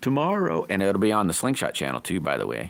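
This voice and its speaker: A man's very deep, low voice at a fairly quick pace, full of very wide pitch swings. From rural area, small country town. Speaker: livestreaming slingshot builder. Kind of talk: casual live stream chat.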